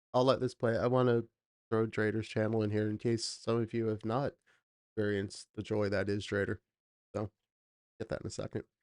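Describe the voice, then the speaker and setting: Soft-spoken, at a fairly quick pace with long, frequent pauses, the voice keeps a monotone, flat intonation over a quiet background, with a dry, close sound and no echo. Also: man, fairly low pitch for a man. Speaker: livestream reaction host. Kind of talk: casual livestream chat. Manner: quiet, soft-spoken.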